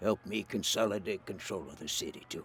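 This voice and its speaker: The voice is a raspy, put-on character voice. It races along at a very fast pace. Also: man. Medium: video game. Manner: smooth, genial.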